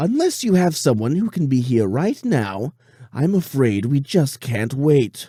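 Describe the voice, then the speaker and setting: A man speaks at a fairly slow pace in a put-on character voice pitched fairly high. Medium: read story. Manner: theatrical, mockingly polite, cruel underneath.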